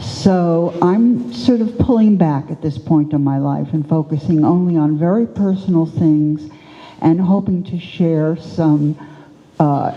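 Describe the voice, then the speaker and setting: A woman with a very deep, low pitch speaks at a fairly slow pace while music plays in the background. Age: 80s+. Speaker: artist. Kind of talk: panel discussion.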